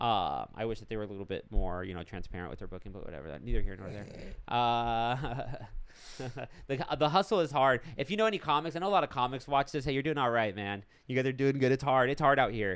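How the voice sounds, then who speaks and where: A man talks very fast, with very wide pitch swings and big swings in loudness. The recording is very clean, with a silent background. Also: medium pitch for a man. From Los Angeles, born in Argentina. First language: Spanish. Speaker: stand-up comedian. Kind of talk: casual chat.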